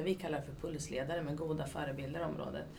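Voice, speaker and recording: A woman speaks with a very deep, low pitch. Noticeable background noise and audible room echo surround her. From Sweden, Katrineholm. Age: 40s. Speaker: youth activity coordinator. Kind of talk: interview.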